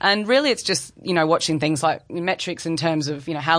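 In an Australian accent, a woman speaks at a fairly low pitch. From Brisbane, Australia. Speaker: investment bank sales executive. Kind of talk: interview. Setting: studio.

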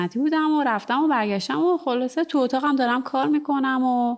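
A woman speaks at a very fast pace. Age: 30s. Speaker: ceramic artist and studio owner. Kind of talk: casual interview.

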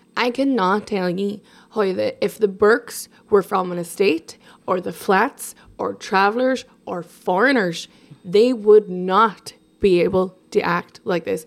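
With an Irish accent, a woman speaks at a fairly slow pace and a medium pitch, with ordinary pitch variation. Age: 30s. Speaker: journalist. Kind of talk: casual chat. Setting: at her home.

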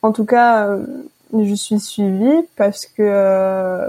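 A woman with a dark, mellow tone talks in a middle register, her intonation fairly even. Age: 20s. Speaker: student sharing personal health story. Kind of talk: interview testimony. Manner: hesitant, many fillers.

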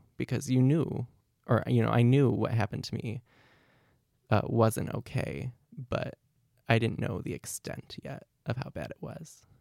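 With an American accent, a man speaks fairly slowly at a medium pitch, his dark, mellow tone carrying vocal fry, the sound dry and close with no echo. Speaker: university student. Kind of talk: life story interview.

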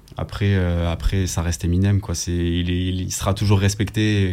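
In a very deep, low voice, the man keeps to a moderate pace. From southern France, Nîmes. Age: 20s. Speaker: rapper. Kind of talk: radio interview.

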